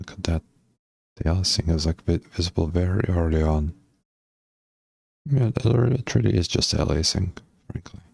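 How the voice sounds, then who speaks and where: Soft-spoken and somewhat breathy, the voice comes with long, frequent pauses in a dry, close sound with no echo. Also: man, very deep, low pitch for a man, lively intonation, moderate pace. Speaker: game developer streamer. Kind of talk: live coding stream commentary. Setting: live stream.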